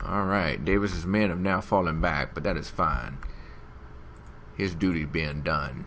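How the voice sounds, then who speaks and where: Audible room echo surrounds a man with a slight Southern US accent and a very deep, low pitch. He shows vocal fry and ordinary pitch variation, with long, frequent pauses. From Alabama. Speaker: gaming YouTuber. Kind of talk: let's play commentary. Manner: animated.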